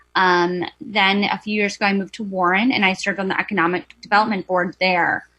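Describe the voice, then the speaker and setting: A woman with a Wisconsin accent, a bright, sharp tone, fairly even intonation and a fairly quick pace. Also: quiet background. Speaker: board applicant. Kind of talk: public testimony. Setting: video call.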